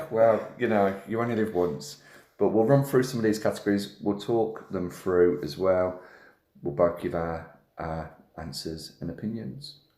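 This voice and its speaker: With a Birmingham accent, a man speaks in a fairly low, dark, mellow voice with lively intonation and audible room echo. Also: fairly slow pace. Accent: Brummie. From Birmingham, England. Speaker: wrestling podcast host. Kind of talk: casual chat.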